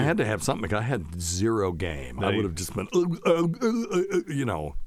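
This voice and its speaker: A man talks at a fairly quick pace with a fairly low pitch. His pitch swings very widely over noticeable background noise. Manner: casual, storytelling.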